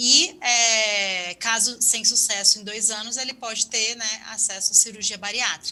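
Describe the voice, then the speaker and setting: Bright, sharp tone from a woman pitched fairly high. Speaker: health ministry official. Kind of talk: webinar panel answer.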